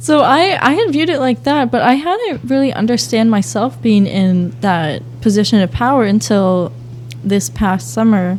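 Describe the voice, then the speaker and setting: Soft-spoken, a woman with an American accent and a medium pitch uses very wide pitch swings while keeping her loudness very even. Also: moderate pace. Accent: Boston accent, comes out when upset. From Boston, Massachusetts. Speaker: aspiring teacher, youth organization founder. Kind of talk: casual podcast interview. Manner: quiet, soft-spoken; rarely raises voice.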